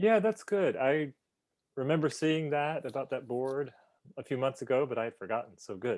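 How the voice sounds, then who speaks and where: Lively intonation carries a normal speaking voice along at a moderate speed. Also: man, fairly high pitch for a man. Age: 40s. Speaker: travel channel host. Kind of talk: interview.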